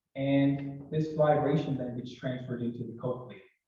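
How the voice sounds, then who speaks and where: Somewhat breathy and fairly high-pitched, a man speaks at a moderate pace with ordinary pitch variation in audible room echo. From Nova Scotia, Canada (Halifax). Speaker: audiologist. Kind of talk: educational presentation. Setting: hybrid information session with live audience. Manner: animated.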